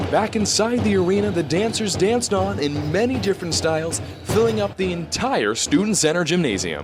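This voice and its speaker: A man with a fairly high pitch over music in the background. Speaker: news reporter and anchor. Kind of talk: TV news report.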